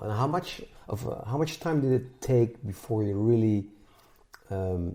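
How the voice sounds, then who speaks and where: A man's fairly low voice with a Dutch accent, somewhat breathy, with a dark, mellow tone. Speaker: musician and podcast host. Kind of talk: interview.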